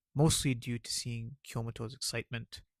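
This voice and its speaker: Quiet and somewhat breathy, a man speaks at a moderate pace, his dry, close sound free of echo on a very clean recording with a silent background. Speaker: video essay narrator. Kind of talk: anime story recap and analysis narration.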